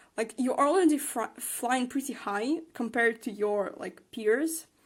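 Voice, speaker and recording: A woman speaks with a non-native accent. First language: not English. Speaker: tarot card reader. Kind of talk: tarot reading. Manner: hesitant, many fillers.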